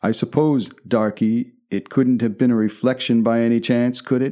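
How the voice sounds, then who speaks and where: A man's medium-pitched voice moves at a moderate pace, his intonation fairly even. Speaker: audiobook narrator. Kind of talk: scripted narration of a horror sea story. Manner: dramatic, suspenseful storytelling.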